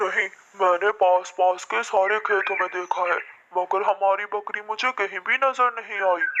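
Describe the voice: This is a cartoonish character voice at a middle pitch. It moves at a moderate pace.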